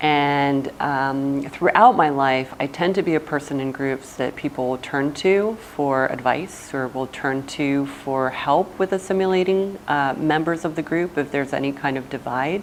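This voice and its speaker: A woman with an American accent and a very deep, low pitch, ordinary pitch variation, a moderate pace with hardly any pauses, and noticeable background noise. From Brazil, then New Jersey from childhood. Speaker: education center director. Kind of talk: personal interview monologue. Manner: hesitant, with frequent fillers.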